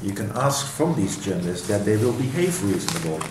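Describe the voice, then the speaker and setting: A man with a Dutch accent speaks at a fairly low pitch with lively intonation. There is noticeable background noise and audible room echo. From Netherlands. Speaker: professor. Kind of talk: interview. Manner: halting.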